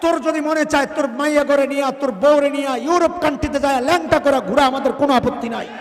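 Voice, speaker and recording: The speaker is a man. Behind him, a crowd can be heard. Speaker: Islamic preacher giving a waz sermon. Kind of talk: passionate Bangla religious sermon (waz). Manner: emphatic, fiery, oratorical with rhetorical questions.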